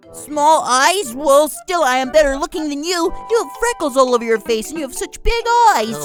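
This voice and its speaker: A cartoonish character voice, high-pitched and playful, at a moderate pace over clear music in the background. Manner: playful, bickering.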